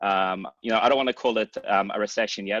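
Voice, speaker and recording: A man in an Australian accent speaks at a fairly low pitch with fairly even intonation. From Australia, Sydney. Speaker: startup CEO. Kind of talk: virtual panel discussion.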